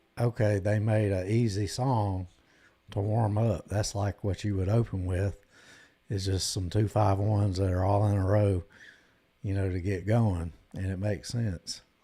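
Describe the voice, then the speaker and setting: A man with a Southern US accent has a fairly low pitch and a dark, mellow tone that is somewhat breathy. He talks at a moderate pace in a monotone, flat intonation. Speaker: guitar live streamer. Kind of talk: casual live stream chat.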